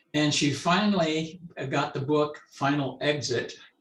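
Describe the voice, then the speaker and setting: Audible room echo surrounds the speaker. He is a man with a fairly high voice. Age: 80s+. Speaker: right-to-die activist. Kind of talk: panel discussion.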